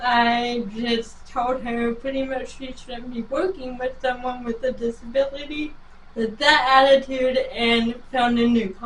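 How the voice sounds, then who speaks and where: In an American accent, a woman with a high pitch speaks at a fairly slow pace with monotone, flat intonation. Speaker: motivational speaker. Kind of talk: interview. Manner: short answers.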